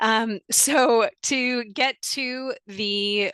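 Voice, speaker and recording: Her voice is fairly high with a bright, sharp tone and fairly even intonation. The woman is recorded with a dry, close sound with no echo and a quiet background. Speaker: arts program staff presenter. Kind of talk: webinar presentation. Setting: video webinar with screen share.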